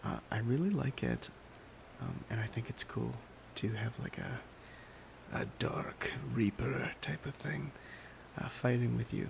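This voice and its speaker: A soft-spoken man talks in a relaxed tone, with long, frequent pauses. Noticeable background noise runs behind him. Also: fairly slow pace. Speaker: ASMR YouTuber. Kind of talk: soft-spoken ASMR gaming chat. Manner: soft-spoken, relaxed.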